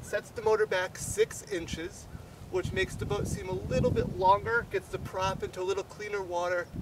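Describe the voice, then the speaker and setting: A man speaks at a moderate pace over noticeable background noise. The sound is dry, with no echo. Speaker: fishing guide. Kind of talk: tutorial. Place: open country.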